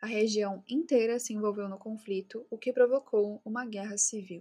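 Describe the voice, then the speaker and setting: A woman with a fairly high pitch speaks in an ordinary speaking voice with fairly even intonation. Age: 20s. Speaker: true crime podcaster. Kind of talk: scripted narration. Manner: casual.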